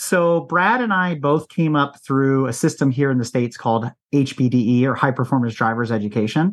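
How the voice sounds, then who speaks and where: A man with an American accent and a normal speaking voice talks at a medium pitch with ordinary pitch variation. He moves at a fairly quick pace with hardly any pauses, against a quiet background. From US East Coast. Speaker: car podcast host and racing instructor. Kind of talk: casual interview chat.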